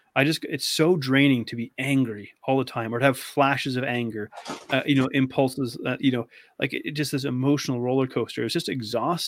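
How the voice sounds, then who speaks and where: With a Canadian accent, a man speaks in an unremarkable speaking voice at a medium pitch, a fairly quick pace and fairly even intonation. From Canada. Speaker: eating disorder expert, navy veteran. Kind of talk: casual interview chat.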